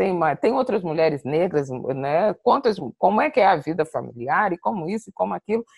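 A woman speaks at a moderate pace with vocal fry, the sound dry with no echo and the background quiet. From Brazil, Rio de Janeiro. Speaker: diplomat; guest. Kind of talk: interview. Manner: halting. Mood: reflective, personal. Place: home room. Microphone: earbuds.

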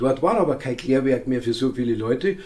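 The man's tone is dark and mellow. There is a somewhat breathy quality to it. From Bavaria, Moosburg; Bavaria, Germany. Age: 70s. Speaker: youth sports educator and author; youth sports educator. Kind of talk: interview monologue. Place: home room.

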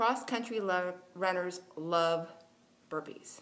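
Here a woman speaks at a fairly low pitch. Her pitch variation is ordinary. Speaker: fitness blogger, cross country coach. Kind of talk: casual vlog chat. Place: gym. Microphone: phone near.

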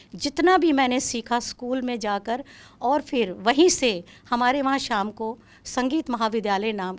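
A woman speaking at a very slow pace. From Kashmir, Srinagar; Kashmir. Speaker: classical vocalist, retired music professor; retired music professor. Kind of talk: interview. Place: studio. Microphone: handheld.

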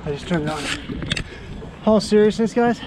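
With lively intonation at a moderate pace, a man speaks in a high pitch and a dark, mellow tone over faint background noise.

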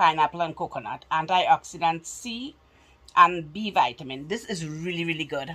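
This woman has a very deep, low voice and ordinary pitch variation. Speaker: haul vlogger. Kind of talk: casual vlog chat. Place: home room. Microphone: phone near.

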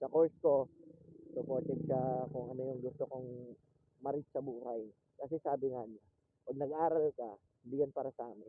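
The speaker pauses often and at length. Their intonation stays fairly even. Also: man, medium pitch for a man, fairly quick pace. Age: 20s. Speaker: motovlogger. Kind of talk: casual vlog narration. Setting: riding a motorcycle outdoors. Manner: loud; talkative. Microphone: phone mic.

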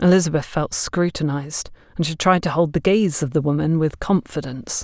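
At a moderate pace, a woman speaks in a low pitch with ordinary pitch variation and a slightly mellow tone.

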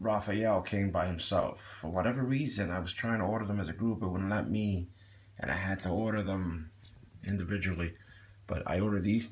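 A man's very deep, low voice at a fairly quick pace, with ordinary pitch variation. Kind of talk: casual unboxing review chat. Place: home room.

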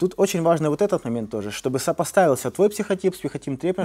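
Very fast and lively in intonation, a man talks in a dark, mellow tone. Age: 30s. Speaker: martial arts coach. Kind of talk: casual chat. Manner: animated. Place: gym.

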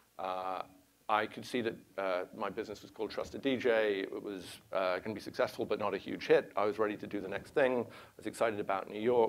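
A man with a fairly low pitch talks at a very fast pace. His intonation is fairly even, though his loudness swings widely. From England, London. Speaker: venture capitalist. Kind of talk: conference talk. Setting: stage with audience. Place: hall. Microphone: lapel.

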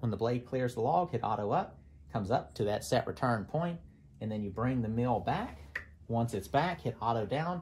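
The speaker has vocal fry and moves at a moderate pace. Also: man. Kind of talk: tutorial. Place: farm machine. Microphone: phone near.

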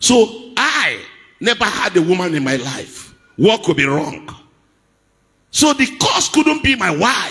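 Very wide pitch swings from a man at a very slow pace. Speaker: preacher. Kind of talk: sermon. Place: church. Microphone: handheld.

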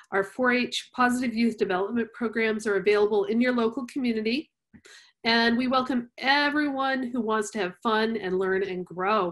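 Against a quiet background, a woman with a fairly high pitch speaks at a moderate pace with ordinary pitch variation. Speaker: youth science educator and webinar host. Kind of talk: webinar hosting. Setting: video call webinar. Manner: enthusiastic. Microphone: webcam.

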